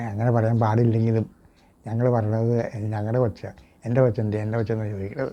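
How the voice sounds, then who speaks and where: Medium pitch for a man, dark and mellow in tone, with monotone, flat intonation. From Kerala, Ernakulam district (Koothattukulam). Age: 70s. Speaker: retired traditional village teacher. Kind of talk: interview testimony. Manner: halting, with memory lapses.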